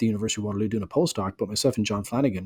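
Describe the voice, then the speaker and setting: A man talks at a fairly low pitch. The recording is very clean and dry, close with no echo, against a silent background. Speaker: optometrist. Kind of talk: interview.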